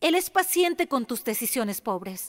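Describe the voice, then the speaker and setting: A woman talks at a fairly slow pace and fairly high pitch, with very wide pitch swings. The recording is very clean with a silent background, and the sound is dry and close with no echo. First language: English (speaking Spanish). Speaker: pastor's wife preaching. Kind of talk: sermon. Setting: church.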